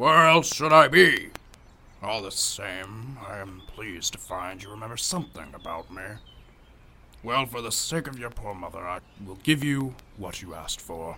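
The speaker uses a put-on character voice and keeps to a moderate pace. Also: man, medium pitch for a man. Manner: grand, teasing, pedantic.

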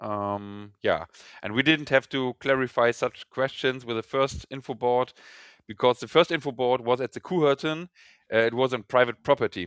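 A man with a German accent, ordinary pitch variation, and a dry, close sound with no echo. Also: medium pitch for a man, moderate pace, quiet background. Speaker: fan initiative organizer, caller. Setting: phone or video call. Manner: hesitant, halting English.

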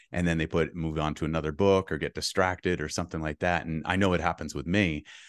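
A man with a very deep, low pitch is heard in a dry, close recording with no echo and a quiet background. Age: 50s. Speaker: real estate investor and coach. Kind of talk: casual interview chat.

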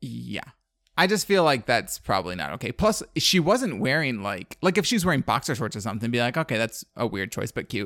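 The man's pitch swings very widely, with vocal fry at a fairly quick pace. The recording is very clean, with a silent background. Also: medium pitch for a man. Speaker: podcast co-host. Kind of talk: casual chat. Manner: fast talker.

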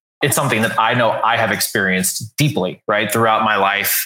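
A man talks at a fairly quick pace in a medium pitch. It is an ordinary speaking voice. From US South, San Antonio, Texas. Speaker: author and leadership coach. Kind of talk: casual interview.

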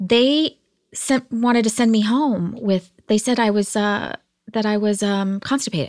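An ordinary speaking voice from a woman, fairly high in pitch with ordinary pitch variation, at a fairly slow pace and very even loudness, on a very clean recording with a silent background. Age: 40s. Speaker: entrepreneur, artist and cancer survivor. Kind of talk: casual interview conversation.

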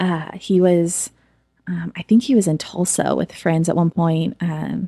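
A woman with an American accent speaks at a fairly slow pace in a fairly low, dark, mellow voice with fairly even intonation, the sound dry and close with no echo. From Oklahoma, US. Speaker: church creative director. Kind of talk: testimony. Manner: casual, frequent fillers.

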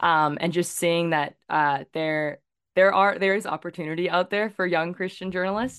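With a Canadian accent and a normal speaking voice, the speaker goes at a fairly quick pace with fairly even intonation, in a dry, close sound with no echo against a quiet background. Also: woman. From Victoria, British Columbia, Canada. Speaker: journalist. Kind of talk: interview.

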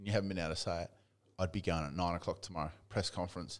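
Very deep, low male voice with an Australian accent, on a very clean recording with a silent background. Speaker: football podcast co-host. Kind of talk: casual banter about AFL. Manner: profane, opinionated.

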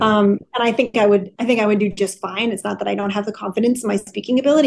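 A woman speaks at a very fast pace. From US Midwest, Wisconsin. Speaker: business consultant, CEO. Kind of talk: interview.

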